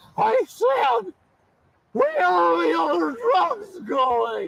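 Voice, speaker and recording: A man does a squeaky put-on character voice at an extremely high pitch. He speaks at a very slow pace. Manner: bad put-on voice.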